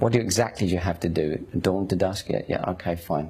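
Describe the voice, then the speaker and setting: A man speaks very fast with a Cockney accent. His pitch is very deep and low. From London, East End (Hackney). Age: 50s. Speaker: convert telling his story. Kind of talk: testimony. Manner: animated.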